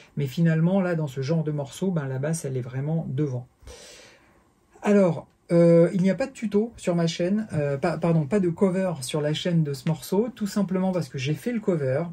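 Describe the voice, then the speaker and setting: A man's dark, mellow tone, high in pitch with ordinary pitch variation, at a moderate pace. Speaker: bass teacher. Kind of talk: tutorial. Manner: halting, many fillers.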